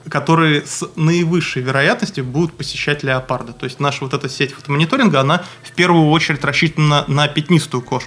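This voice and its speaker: A man's fairly high voice at a fairly quick pace with ordinary pitch variation. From Moscow, Russia. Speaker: wildlife researcher. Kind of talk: interview. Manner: halting with many fillers.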